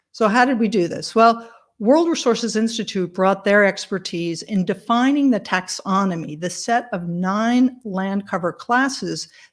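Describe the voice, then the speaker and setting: Recorded very cleanly against a silent background, a woman has a plain, everyday voice, medium in pitch, with ordinary pitch variation at a fairly slow pace. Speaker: tech company presenter. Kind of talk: conference presentation.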